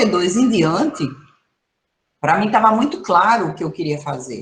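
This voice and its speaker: A woman talks at a moderate pace in a medium pitch, her voice swinging very widely up and down. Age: 60s. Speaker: professor, environmental management specialist. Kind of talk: online training talk. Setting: video call. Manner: conversational, animated.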